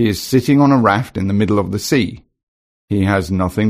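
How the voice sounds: A natural reading voice, with ordinary pitch variation, against a quiet background.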